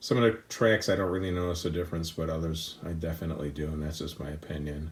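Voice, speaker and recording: On a very clean recording with a silent background, the man sounds somewhat breathy. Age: 60s. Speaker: audiophile subscriber giving system tour. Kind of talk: casual home system tour. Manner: hesitant, with many fillers.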